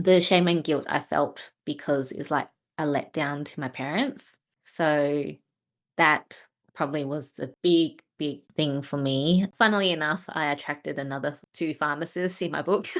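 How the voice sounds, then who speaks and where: A woman with an Australian accent has a very deep, low pitch. She goes at a moderate pace with fairly even intonation. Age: 40s. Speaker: trading mentor and author. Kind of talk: interview. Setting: video call.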